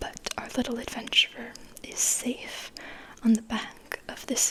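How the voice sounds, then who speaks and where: A whisper moves very slowly while noticeable background noise carries on behind it. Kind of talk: ASMR picture book read-aloud, soft spoken and whispering. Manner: soft-spoken, whispering.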